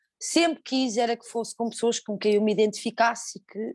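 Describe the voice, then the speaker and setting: A woman with a fairly high voice talks at a moderate pace with ordinary pitch variation, and the sound is dry and close with no echo. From Portugal. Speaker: fado singer. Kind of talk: interview. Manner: halting.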